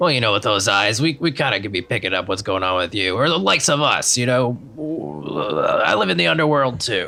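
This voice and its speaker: A man performs a gruff, put-on character voice at a fairly low pitch. He speaks at a fairly quick pace over light background noise. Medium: actual play.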